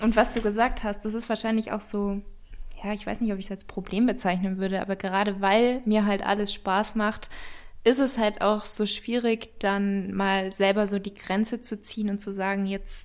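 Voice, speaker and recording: A woman talks in a normal speaking voice at a medium pitch. Her pace is moderate and her intonation fairly even. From Bavaria, near Munich. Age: 20s. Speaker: fitness and nutrition influencer, cookbook author. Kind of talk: casual interview.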